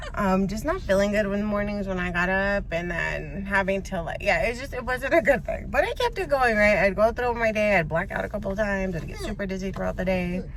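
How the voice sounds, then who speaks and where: A woman at a very fast pace, hardly any pauses, noticeable background noise and audible room echo. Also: medium pitch for a woman, ordinary pitch variation. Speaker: vlogger recovering from covid. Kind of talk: casual vlog.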